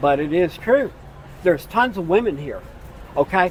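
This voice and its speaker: Lively intonation and an American accent come at a moderate pace over noticeable background noise. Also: man. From United States. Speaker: retired expat. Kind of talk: street interview.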